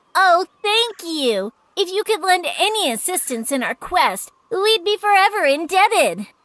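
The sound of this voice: A cartoonish character voice that sounds female, pitched extremely high, runs at a moderate pace with hardly any pauses.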